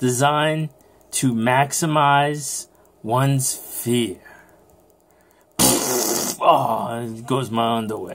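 Very slow delivery with fairly even intonation. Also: man. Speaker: vlogger. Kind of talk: casual vlog chat reading event info. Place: home room. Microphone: phone near.

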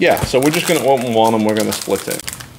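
The voice belongs to a man. Background noise is noticeable throughout. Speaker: food review host. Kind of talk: casual food review chat. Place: kitchen.

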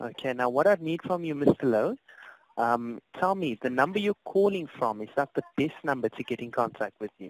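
With a South African accent, a man speaks at a moderate pace and a fairly high pitch, the sound dry and close with no echo. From South Africa, Cape Town. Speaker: customer service agent. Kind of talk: customer service phone call. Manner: polite, hesitant with fillers.

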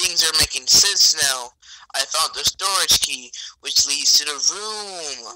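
Speaking at a very slow pace, a man uses lively intonation in a fairly high pitch. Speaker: gamer friend. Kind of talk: casual gameplay chat. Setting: online voice call. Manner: animated.

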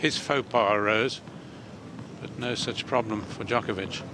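A man's voice against noticeable background noise. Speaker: tennis commentator. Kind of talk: live tennis commentary. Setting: broadcast recording of a match. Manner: measured, calm, analytical; dry, understated, with occasional chuckles.

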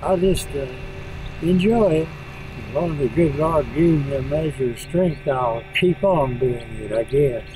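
A man with an American accent speaks at a fairly slow pace, his pitch fairly high with ordinary pitch variation, in a dry sound with no echo and noticeable background noise. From Oklahoma. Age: 80s+. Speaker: farmer. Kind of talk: interview answer. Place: farm.

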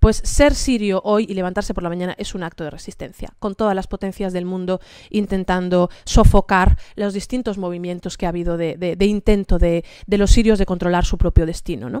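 A woman with a dark, mellow tone talks at a fairly quick pace with ordinary pitch variation and big swings in loudness, the sound dry with no echo over a quiet background. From Spain, grew up in Santiago de Compostela and Damascus; Spain. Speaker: panelist journalist. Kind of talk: panel talk. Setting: seminar venue with live audience. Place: meeting room. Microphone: podium.

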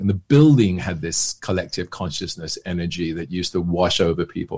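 A man with a southern English accent, at a fairly quick pace. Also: quiet background. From England, near London. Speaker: actor and magician; actor. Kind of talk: casual chat. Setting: podcast interview. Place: home room. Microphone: webcam.

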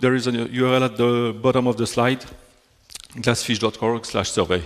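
A man talks at a moderate pace with a French accent. His pitch is medium. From Belgium. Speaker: software technology specialist. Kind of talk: technical conference talk. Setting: stage with audience. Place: hall.

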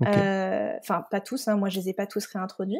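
A woman speaks with a dark, mellow tone. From Scotland. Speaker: nutritional therapist. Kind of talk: interview with personal testimony.

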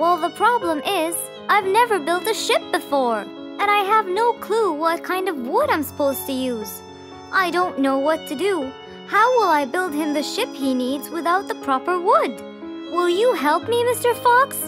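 A woman uses a cartoonish character voice at an extremely high pitch with a fairly bright tone. She speaks fairly slowly with lively intonation over faint music in the background.

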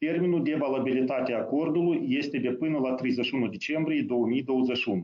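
Medium in pitch, this man has a plain, everyday voice, speaking at a moderate pace with hardly any pauses, ordinary pitch variation and very even loudness. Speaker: deputy prime minister, finance. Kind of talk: formal briefing. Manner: formal.

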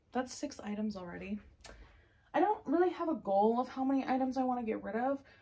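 A woman speaks at a moderate pace in a high voice. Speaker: vlogger. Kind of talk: casual vlog chat. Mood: relaxed, cheerful. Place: home room. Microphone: phone near.

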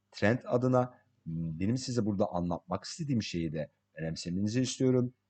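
With a slight non-native accent, a man speaks in a dark, mellow tone at a moderate pace, using very wide pitch swings, in a dry, close sound with no echo. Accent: slight non-native Turkish. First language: English (speaking Turkish). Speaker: crypto market analyst. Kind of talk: tutorial. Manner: halting.

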